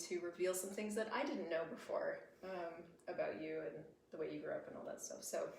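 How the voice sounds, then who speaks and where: Audible room echo surrounds a woman speaking at a medium pitch with an American accent. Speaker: podcast host. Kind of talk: casual chat. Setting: live stream with shared microphone.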